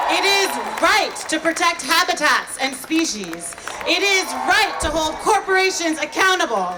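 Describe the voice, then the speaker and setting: Over crowd noise in the background, a raised, projected voice with an American accent carries at a fairly slow pace. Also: woman, extremely high pitch for a woman, ordinary pitch variation, very even loudness. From New York, Brooklyn. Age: 30s. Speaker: climate activist and marine biologist. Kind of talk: rally speech. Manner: loud.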